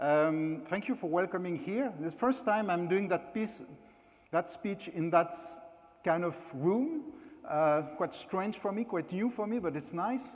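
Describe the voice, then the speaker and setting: A man with a French accent speaks at a fairly slow pace. His voice is high-pitched, with lively intonation. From France. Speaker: keynote speaker, former hotel executive. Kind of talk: conference talk. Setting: stage at company meeting.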